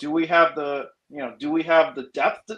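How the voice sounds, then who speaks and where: A man speaks with a high pitch. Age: 40s. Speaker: sports podcast panelist. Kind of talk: casual chat. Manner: animated.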